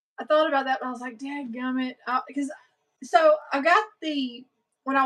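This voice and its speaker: With a Southern US accent, a woman speaks in a high voice. Her pace is moderate. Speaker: sewing livestream host. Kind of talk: casual chat. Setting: livestream with viewer chat.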